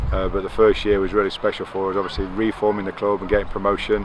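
With little pitch movement, a man talks at a fast pace over clear background noise.

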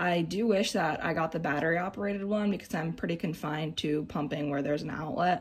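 A woman's somewhat breathy, fairly low voice moves through ordinary pitch variation. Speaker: mom product reviewer. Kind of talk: product review tutorial. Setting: home nursery. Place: home room. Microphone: phone near.

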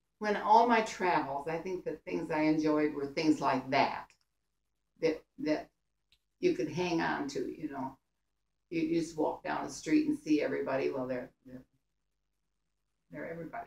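A woman's very deep, low voice at a moderate pace, with ordinary pitch variation, big swings in loudness, long, frequent pauses and audible room echo. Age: 80s+. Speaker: grandmother telling war stories. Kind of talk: storytelling to family. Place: home room. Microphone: camera far.

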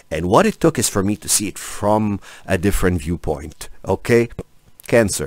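Over a quiet background, a man talks at a moderate pace with very wide pitch swings, and the sound is dry with no echo. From Egypt. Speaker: tarot reader. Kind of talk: tarot reading monologue to camera. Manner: animated. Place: home room. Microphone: studio mic.

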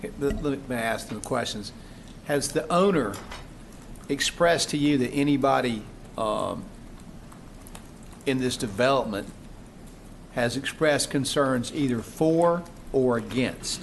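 The speech moves at a fairly slow pace, with long, frequent pauses and ordinary pitch variation. Audible room echo fills the recording. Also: man, medium pitch for a man. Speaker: city council member. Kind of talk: council meeting questioning. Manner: loud.

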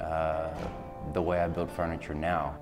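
Clear music plays in the background as a man talks. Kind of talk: interview answer. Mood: calm, reflective. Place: studio. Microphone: lapel.

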